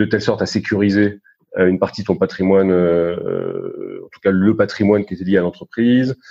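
He keeps to a moderate pace. This man's voice is fairly low in pitch. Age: 50s. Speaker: investment banker. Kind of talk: interview. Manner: hesitant, many fillers and repetitions.

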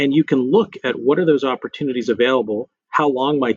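In an American accent, a man with a normal speaking voice talks at a fairly quick pace in a medium pitch with ordinary pitch variation. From West Texas (Lubbock). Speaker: corporate general counsel. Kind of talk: interview.

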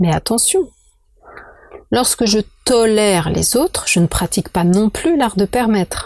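A woman talks at a fairly slow pace with lively intonation and long, frequent pauses. Her loudness stays very even, and the sound is dry and close with no echo. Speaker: podcast host, feng shui consultant. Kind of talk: monologue podcast, explanatory talk. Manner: hesitant with many fillers and repetitions.

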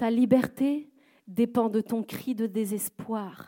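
A woman's dark, mellow tone at a fairly high pitch, with fairly even intonation. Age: young. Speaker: guest preacher. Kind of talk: sermon. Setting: church service in a theatre.

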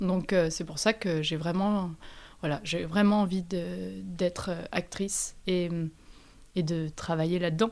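Very slow speech comes from this voice. It belongs to a woman. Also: very clean recording, silent background. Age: 20s. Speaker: actress. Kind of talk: interview. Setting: at her home.

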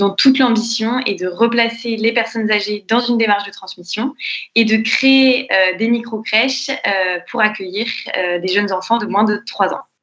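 A woman's unremarkable speaking voice, fairly high-pitched, with fairly even intonation at a moderate pace. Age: 20s. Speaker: entrepreneur, co-founder of intergenerational nurseries. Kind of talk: podcast interview.

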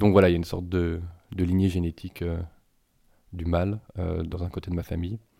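With long, frequent pauses, a man speaks at a fairly quick pace in a very deep, low voice, his intonation monotone and flat and his tone dark and mellow. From Paris region, France. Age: 40s. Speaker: interviewee. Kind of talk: personal testimony. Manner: halting, many hesitations and repetitions.

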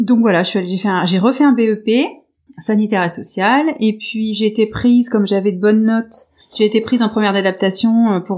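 Her dark, mellow tone at a medium pitch, a woman speaks at a moderate pace with ordinary pitch variation. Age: 30s. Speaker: nursing assistant retraining as fitness coach. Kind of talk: interview. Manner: halting.

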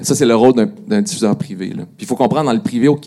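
Speaking at a fairly quick pace in a Quebec accent, a man with a medium pitch and a dark, mellow tone makes very wide pitch swings. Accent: Québécois. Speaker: digital media director. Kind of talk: panel discussion. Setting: stage with audience.

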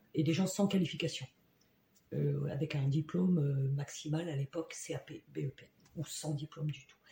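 A woman's very deep, low voice, dark and mellow in tone and somewhat breathy, fairly slow and flat in monotone intonation. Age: 50s. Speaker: job integration counselor. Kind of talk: casual interview.

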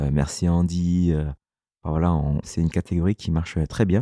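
Dark, mellow tone at a fairly slow pace, with fairly even intonation and a dry, close sound with no echo. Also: man. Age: 30s. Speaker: entrepreneur. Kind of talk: interview.

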